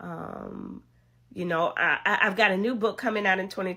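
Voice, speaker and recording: A bright, sharp tone with vocal fry, ordinary pitch variation and a moderate pace, in a very clean recording with a silent background. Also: woman. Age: 60s. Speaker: podcast host and author. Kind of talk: motivational talk. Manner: animated.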